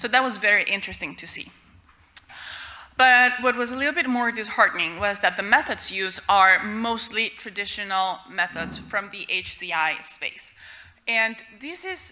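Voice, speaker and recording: Her tone bright and sharp, a woman with a Spanish accent talks at a moderate pace at medium pitch with ordinary pitch variation. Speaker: researcher presenting a paper. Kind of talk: conference talk.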